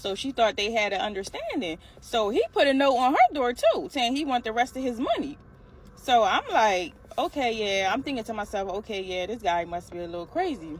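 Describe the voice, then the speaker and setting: Against noticeable background noise, a woman with a fairly high pitch talks at a fairly quick pace, her voice making very wide pitch swings. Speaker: storyteller vlogger. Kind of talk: casual storytelling. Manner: fast.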